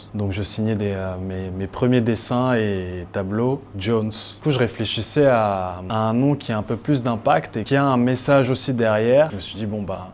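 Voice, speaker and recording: A man with an ordinary speaking voice talks at a fairly slow pace with hardly any pauses, his pitch medium and its variation ordinary. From Cameroon. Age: 30s. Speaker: painter. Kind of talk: interview answer.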